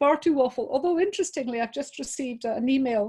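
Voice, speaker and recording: Talking at a fairly quick pace, a woman with a Scottish accent has a dark, mellow tone. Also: quiet background. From Scotland. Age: 60s. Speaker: business coach, webinar presenter. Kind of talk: webinar talk. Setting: video call.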